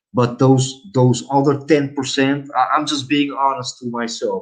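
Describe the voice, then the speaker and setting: With a Dutch accent, a man talks at a fairly slow pace in a medium pitch, using ordinary pitch variation. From Netherlands. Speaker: live streamer. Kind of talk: casual live stream chat. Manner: hesitant, many fillers.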